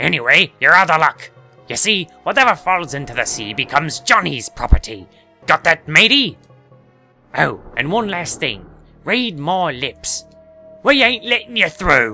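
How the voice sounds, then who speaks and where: A man puts on a gruff character voice at a fairly high pitch. He talks at a fairly slow pace over faint background music. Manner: menacing, taunting.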